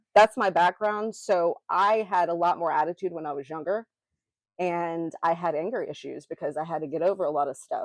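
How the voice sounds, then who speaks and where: Speaking quite quickly, a woman with an American accent has a fairly low pitch, in a dry, close sound with no echo. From US South, Memphis, Tennessee. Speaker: podcast co-host. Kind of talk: casual chat. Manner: even, neutral tone; animated, gestures when passionate.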